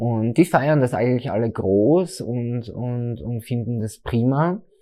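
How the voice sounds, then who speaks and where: A man's dark, mellow voice at a medium pitch, fairly slow, with ordinary pitch variation and a quiet background. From Austria, southern Styria. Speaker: drag queen and hairstylist. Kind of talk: interview. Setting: furniture store. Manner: hesitant, many fillers.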